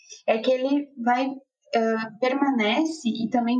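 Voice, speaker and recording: Her voice high in pitch, a woman talks with fairly even intonation. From Brazil, interior of Rio Grande do Sul. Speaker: nutritionist. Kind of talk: casual chat.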